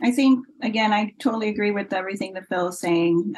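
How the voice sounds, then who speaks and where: A woman with an American accent speaks at a medium pitch, somewhat breathy, with ordinary pitch variation. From Florida, US. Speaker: breakdancer and commentator. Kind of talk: interview.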